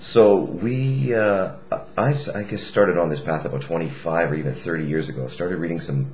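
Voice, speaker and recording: Over noticeable background noise and audible room echo, a man with a very deep, low voice speaks at a moderate pace, his pitch swinging very widely. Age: 40s. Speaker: musician, piano player. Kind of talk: casual webcam vlog. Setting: home webcam recording. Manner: loud.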